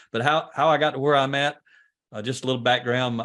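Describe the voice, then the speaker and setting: A man speaks with a Southern US accent. His pace is very fast. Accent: Southern US country. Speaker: leadership trainer. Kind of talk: podcast interview.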